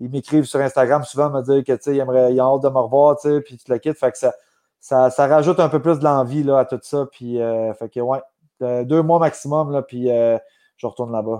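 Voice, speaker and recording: Over a quiet background, a man with a medium pitch and a dark, mellow tone speaks at a moderate pace with fairly even intonation, the sound dry and close with no echo. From Quebec. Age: 30s. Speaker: MMA fighter. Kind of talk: podcast interview.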